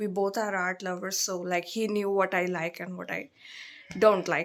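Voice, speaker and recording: At a moderate pace, a woman with an Indian accent speaks at medium pitch in a monotone, flat intonation. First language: Hindi. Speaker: vlogger. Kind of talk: casual chat.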